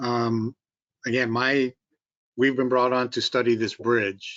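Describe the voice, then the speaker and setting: A man with a Massachusetts accent talks at a moderate pace. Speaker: bridge engineering consultant. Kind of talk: public meeting presentation and Q&A. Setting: online video conference. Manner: halting, many fillers.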